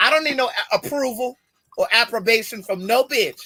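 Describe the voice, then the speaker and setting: A man with an extremely high pitch speaks in a raised, projected voice, with a dry, close sound and no echo. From US, Baltimore, Maryland. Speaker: podcast co-host. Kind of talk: casual chat. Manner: animated.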